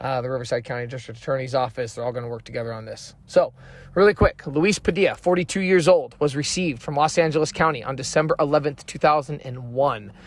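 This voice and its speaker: Speaking at a very fast pace with hardly any pauses, a man uses a fairly high, somewhat breathy voice with ordinary pitch variation. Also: big swings in loudness. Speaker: true crime YouTuber. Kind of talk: true crime narration with commentary. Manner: casual, conversational.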